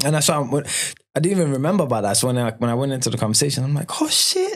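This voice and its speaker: Someone speaks at a very fast pace with ordinary pitch variation. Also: man, fairly high pitch for a man, very even loudness. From Malawi. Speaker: musician. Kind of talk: interview. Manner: casual, animated.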